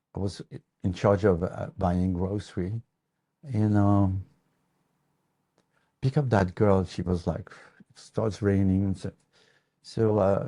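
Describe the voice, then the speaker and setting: A man with a French accent and a dark, mellow tone, fairly low in pitch with ordinary variation, at a very slow pace with long, frequent pauses, in a dry, close sound with no echo against a quiet background. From France, northeast near Luxembourg border. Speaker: guitar maker. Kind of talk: casual interview, storytelling. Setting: workshop. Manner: halting, many fillers and repeats.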